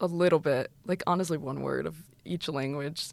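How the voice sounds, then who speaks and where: With vocal fry and an American accent, a woman speaks at a fairly quick pace and a fairly low pitch. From US, Mexican-American family. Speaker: study abroad student. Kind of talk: interview. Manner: animated.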